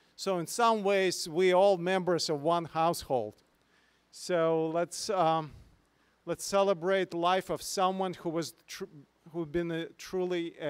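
The background is quiet as a man speaks at a moderate pace. His pitch is high and his intonation fairly even. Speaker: pastor. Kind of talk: memorial service address. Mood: somber, bittersweet remembrance. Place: garden. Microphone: handheld.

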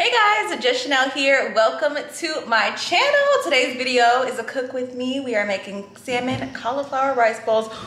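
The speech runs on with hardly any pauses, and room echo is audible. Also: woman, high pitch for a woman, ordinary pitch variation, moderate pace. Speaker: lifestyle vlogger. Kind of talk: casual vlog chat. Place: kitchen. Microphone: phone near.

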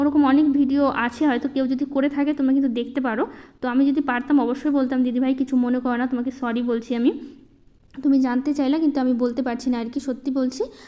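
A woman with a high pitch and a dark, mellow tone speaks in a monotone, flat intonation. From Malda district, West Bengal, India. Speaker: housewife vlogger. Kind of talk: casual vlog narration. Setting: at home.

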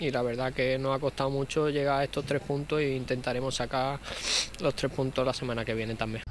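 Over light background noise, a man talks at a fairly quick pace in a monotone, flat intonation, with a dry sound and no echo. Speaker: professional footballer. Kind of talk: post-game interview answer. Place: stadium.

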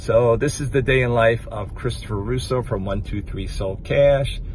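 In a dry sound with no echo and light background noise, a man speaks at a moderate pace with ordinary pitch variation. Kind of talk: casual vlog chat. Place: car. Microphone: phone near.

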